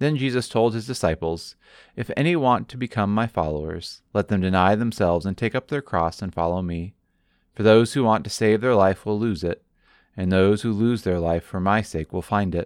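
A man speaks at a moderate pace in a plain, everyday voice, fairly low in pitch with ordinary pitch variation, on a very clean recording with a silent background. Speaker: pastor. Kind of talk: sermon excerpt, guided prayer; fervent prayer, earnest and devotional. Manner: warm, pastoral.

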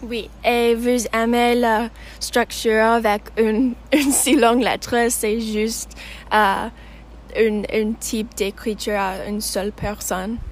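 In an English accent, a woman speaks very slowly at a fairly high pitch with monotone, flat intonation. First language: English (speaking French). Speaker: student podcast host. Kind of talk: casual interview.

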